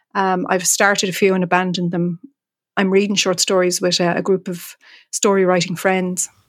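A woman with an Irish accent speaks at a medium pitch in a monotone, flat way. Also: moderate pace. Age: 50s. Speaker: writer. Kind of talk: interview conversation. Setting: remote call from home.

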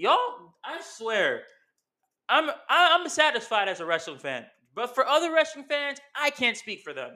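Furious and raised to a projected level, a man's extremely high, bright, sharp voice moves at a moderate pace through very wide pitch swings and big swings in loudness. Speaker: wrestling podcast host. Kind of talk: angry rant, profane wrestling fan tirade. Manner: furious, loud, punchy and combative, scolding fans; casual, chatty, slangy.

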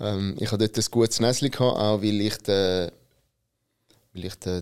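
Recorded very cleanly against a silent background, a man speaks very slowly in a fairly low pitch. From Switzerland, Italian immigrant family. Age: 30s. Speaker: business consultant, company founder. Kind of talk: interview.

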